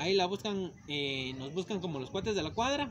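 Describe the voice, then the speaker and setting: With noticeable background noise, a man talks at a very fast pace in a high pitch. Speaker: channel host. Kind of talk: casual vlog chat. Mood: cheerful, joking. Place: street. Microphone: phone near.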